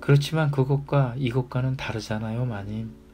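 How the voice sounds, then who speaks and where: Music plays behind a man speaking at a fairly slow pace. His pitch sits at a medium level with ordinary variation. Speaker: audiobook reader. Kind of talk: audiobook reading of a classic short story. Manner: calm, soft-spoken, ASMR-style reading.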